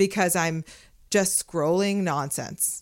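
In an American accent, a woman with a plain, everyday voice talks fairly slowly at a fairly low pitch, the sound dry and close with no echo on a very clean recording with a silent background. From Los Angeles. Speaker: creative studio co-founder. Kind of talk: casual chat.

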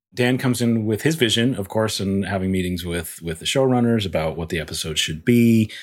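At a fairly quick pace with hardly any pauses, an unremarkable speaking voice carries lively intonation on a very clean recording with a silent background. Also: man, fairly low pitch for a man. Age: 40s. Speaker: visual effects supervisor. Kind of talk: casual chat.

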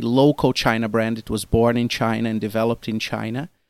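Speaking at a fairly quick pace with a Portuguese accent, a man with a medium pitch sounds dry and close with no echo on a very clean recording with a silent background. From Brazil. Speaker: marketing executive. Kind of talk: interview. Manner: halting.

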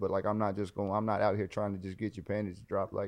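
A man with a Southern US accent, a fairly low pitch and a very fast pace. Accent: Southern US, country. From US South (Carolinas). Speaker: police officer and social media creator. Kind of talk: casual chat.

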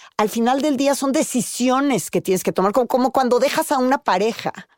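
A woman with a high pitch talks fairly quickly in a dry, close recording with no echo and a silent background, very clean throughout. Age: 50s. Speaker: podcast host and news anchor. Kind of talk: casual chat.

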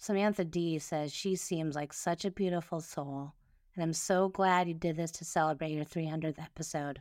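A woman talks at a moderate pace with a fairly low pitch, fairly even intonation and a normal speaking voice. The recording is very clean, with a silent background. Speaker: podcast co-host. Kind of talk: casual chat reviewing listener comments.

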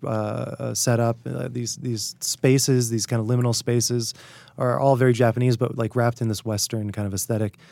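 A man with an American accent speaks at a moderate pace in a dark, mellow tone. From US Northeast (Hartford, Connecticut). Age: 30s. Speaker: writer. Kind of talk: casual interview chat. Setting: studio.

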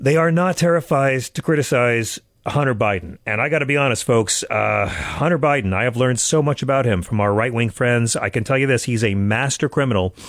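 A man with an American accent talks at a fairly quick pace with hardly any pauses, at medium pitch. It is a normal speaking voice with ordinary pitch variation. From Long Island, New York. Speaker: radio host. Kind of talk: political talk radio commentary; interview. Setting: studio.

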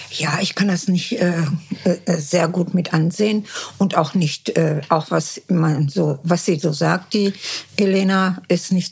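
A woman's fairly low voice at a fairly slow pace, with fairly even intonation and noticeable background noise. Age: 70s. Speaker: mother of a reality TV contestant. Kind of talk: interview. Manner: halting.

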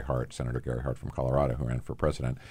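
Delivered at a very fast pace, the voice carries vocal fry and a fairly even intonation. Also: man. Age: 60s. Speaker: podcast host, nonprofit founder. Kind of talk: interview. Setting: studio.

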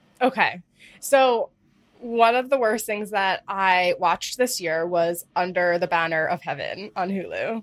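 A woman talks in a normal speaking voice at medium pitch, with ordinary pitch variation. Her pace is fairly slow, and the recording is very clean with a silent background. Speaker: podcast co-host. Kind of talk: casual chat and TV review. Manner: laughs often, chatty.

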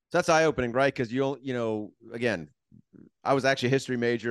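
Pitched at a medium level, this man talks in an American accent. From Miami, Florida. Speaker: podcast host. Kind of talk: casual chat.

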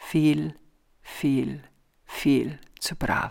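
A woman speaks on a very clean recording with a silent background. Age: 60s. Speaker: podcast host and author. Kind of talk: casual reflective monologue; reading aloud from own book.

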